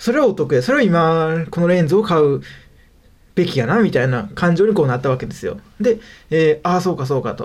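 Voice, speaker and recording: On a very clean recording with a silent background, a man with a Kansai accent speaks at a high pitch and fairly quick pace with lively intonation. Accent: Kansai Japanese. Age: 20s. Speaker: web freelancer, podcast host. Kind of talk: solo casual talk radio. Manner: rambling with many fillers.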